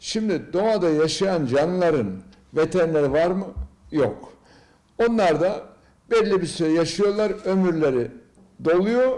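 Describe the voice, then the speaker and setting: Very slowly and with long, frequent pauses, a man speaks in a dark, mellow tone at a high pitch, with lively intonation and very even loudness. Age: 70s. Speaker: business executive and triathlete. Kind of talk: interview answer, health advice.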